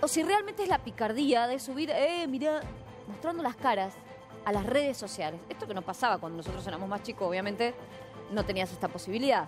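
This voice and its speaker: A woman talks at a fairly quick pace in a fairly high voice, her pitch swinging very widely. Clear music plays behind her. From Mendoza, Argentina. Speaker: TV news anchor. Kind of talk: live TV news commentary. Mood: indignant, emphatic. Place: studio.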